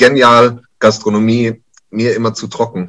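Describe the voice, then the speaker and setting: This is a man speaking. His pitch is medium. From Kurpfalz, southwest Germany. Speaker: chef at a university canteen. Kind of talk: casual chat.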